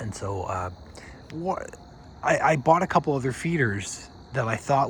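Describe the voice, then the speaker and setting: A man speaks at a medium pitch with lively intonation. His pace is moderate. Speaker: backyard birdwatcher vlogger. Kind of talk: casual video update. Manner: soft-spoken.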